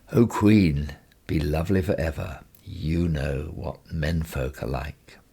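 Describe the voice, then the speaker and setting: A man uses a put-on character voice, raspy and very deep in pitch. He speaks at a fairly slow pace. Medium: read story.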